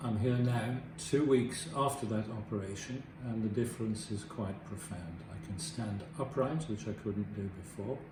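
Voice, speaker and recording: At a moderate pace, a man with a fairly low pitch and ordinary pitch variation speaks amid noticeable background noise and audible room echo. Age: 70s. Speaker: surgery patient. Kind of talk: testimony.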